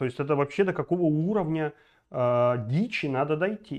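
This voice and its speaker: A man at a moderate pace, with an animated tone, lively intonation and a fairly high pitch. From Belarus. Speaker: political video blogger. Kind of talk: political commentary monologue; political commentary vlog. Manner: animated, with many filler sounds. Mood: indignant, outraged. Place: home room. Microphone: lapel.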